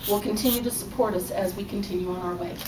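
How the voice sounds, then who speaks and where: Against noticeable background noise, a woman at medium pitch talks at a fairly quick pace with fairly even intonation. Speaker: fan club officer and ship's counselor. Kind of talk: ceremony speech. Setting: live event hall.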